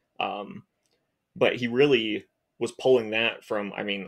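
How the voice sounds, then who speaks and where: In a quiet setting, a man talks at a moderate speed. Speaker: researcher. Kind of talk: casual chat. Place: home room.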